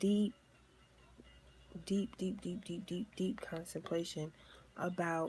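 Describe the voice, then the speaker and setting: Somewhat breathy and fairly low in pitch, a woman with an American accent speaks at a fairly slow pace in a dark, mellow tone with ordinary pitch variation. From New York. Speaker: tarot reader. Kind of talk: tarot reading to camera. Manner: animated.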